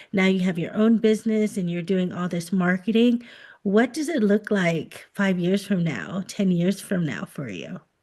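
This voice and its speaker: A woman with an American accent, medium-pitched and somewhat breathy, with a dark, mellow tone, ordinary pitch variation and a moderate pace. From United States. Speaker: podcast host. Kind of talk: podcast interview.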